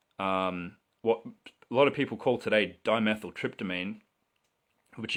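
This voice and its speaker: In an Australian accent, a man with a fairly low voice and a bright, sharp tone speaks at a moderate pace on a very clean recording with a silent background. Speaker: livestreamer selling mushroom supplies. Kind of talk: live stream monologue. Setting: live video stream.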